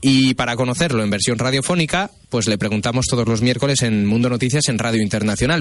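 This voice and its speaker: Very fast male speech at a medium pitch, its pitch varying in an ordinary way. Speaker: radio news host. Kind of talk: radio interview.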